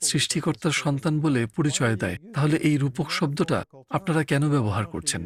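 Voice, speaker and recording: A somewhat breathy man with an English accent, on a very clean recording with a silent background. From US, San Francisco. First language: English (speaking Bengali). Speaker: eye doctor and author. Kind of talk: interview testimony.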